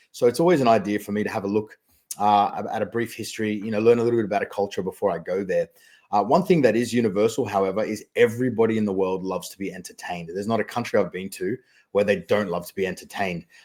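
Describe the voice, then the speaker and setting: A man with a slight Australian accent, fairly low in pitch, talking at a very fast pace with ordinary pitch variation, on a very clean recording with a silent background. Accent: faint Australian. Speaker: magician and mentalist. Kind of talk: podcast interview. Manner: clear and concise.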